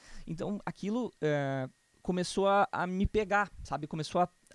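On a very clean recording with a silent background and a dry, close sound with no echo, a man talks at a high pitch with ordinary pitch variation. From Rio Grande do Sul, Brazil (Canoas, near Porto Alegre). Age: 20s. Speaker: church musician. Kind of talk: casual interview.

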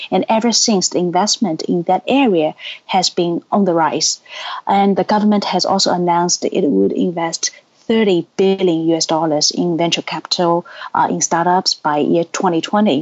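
The speaker has a Chinese accent, a moderate pace and ordinary pitch variation. Loudness stays very even, with noticeable background noise. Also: woman, fairly low pitch for a woman. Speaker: education company executive.

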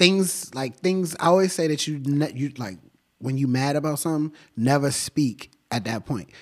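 A plain, everyday voice with an American accent, a moderate pace and ordinary pitch variation. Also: man, fairly high pitch for a man. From Washington, D.C. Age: 20s. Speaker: painter. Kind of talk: casual interview. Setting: art gallery.

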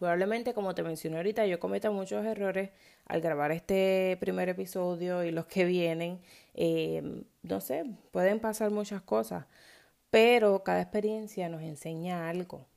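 In a very clean recording with a silent background, a woman speaks at a moderate pace, her fairly low pitch showing ordinary variation. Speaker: podcaster and moms' self-care coach. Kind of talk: casual monologue. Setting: home recording at 5 a.m. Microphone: no proper microphone or studio.

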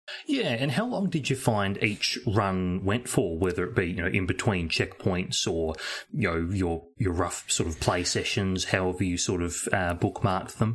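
Very deep and low, a man's voice carries an Australian accent. He talks at a moderate pace with ordinary pitch variation. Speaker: podcast co-host. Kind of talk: casual chat. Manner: hesitant, many fillers.

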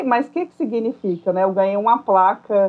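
Her voice fairly high with ordinary pitch variation, a woman speaks at a moderate pace. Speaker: school psychologist and teacher. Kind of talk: casual interview chat. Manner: hesitant, many fillers.

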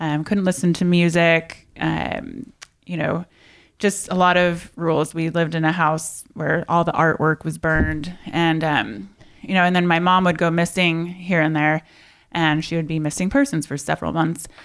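In a plain, everyday voice, a woman with an American accent talks at a moderate pace and a fairly low pitch with ordinary pitch variation, on a very clean recording with a silent background. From US Midwest, Indiana. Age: 30s. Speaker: fitness entrepreneur. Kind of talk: interview.

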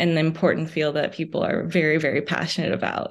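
A woman with an American accent talks fairly quickly at a fairly low pitch with vocal fry over a quiet background. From New York City and New Jersey. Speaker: psychology grad student. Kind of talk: podcast interview.

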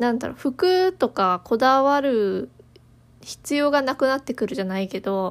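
A woman's high voice at a fairly slow pace, with lively intonation. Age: 20s. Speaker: podcast host, office worker. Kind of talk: casual solo talk. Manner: casual, conversational.

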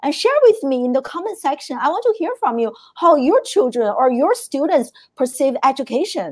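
Her high-pitched voice swings very widely in pitch as the woman speaks in an animated tone. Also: moderate pace. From China. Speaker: podcast host. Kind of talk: live interview show. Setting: live stream.

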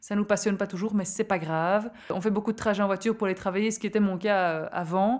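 A woman talks at a very fast pace with fairly even intonation. The recording is very clean, with a silent background. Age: 30s. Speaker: zero-waste advocate. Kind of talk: interview testimony.

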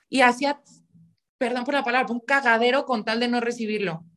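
At a moderate pace, a woman speaks in a high pitch with fairly even intonation. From Mexico, León, Guanajuato. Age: 20s. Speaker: podcast guest. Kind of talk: casual chat.

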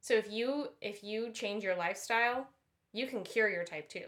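With an American accent and a bright, sharp tone, a woman speaks at medium pitch and a moderate pace with ordinary pitch variation. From US suburbs. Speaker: podcast co-host. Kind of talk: casual chat.

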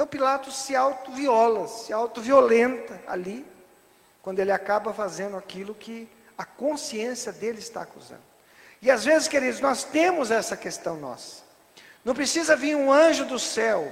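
A man speaks at a moderate pace with extremely high pitch and an animated tone. His loudness swings widely from moment to moment. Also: ordinary pitch variation. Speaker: preacher. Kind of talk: sermon. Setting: church. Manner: animated, rhetorical, asks the congregation questions; teaching, stops the reader to explain each passage.

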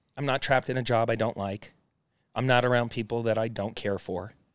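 The recording is very clean, with a silent background. A man's voice sounds dry and close, with no echo. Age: 40s. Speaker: real estate investor and Navy veteran. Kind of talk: casual interview. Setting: studio office. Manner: animated.

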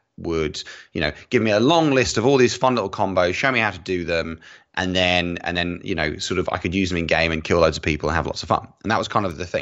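A man with an English accent and a very deep, low voice speaks with lively intonation. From England. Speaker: YouTube gaming creator. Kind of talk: casual interview.

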